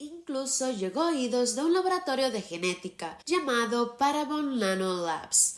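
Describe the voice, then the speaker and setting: A woman's pitch swings very widely as she speaks at a moderate pace, with noticeable background noise behind her. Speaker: true crime narrator. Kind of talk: true crime narration to camera.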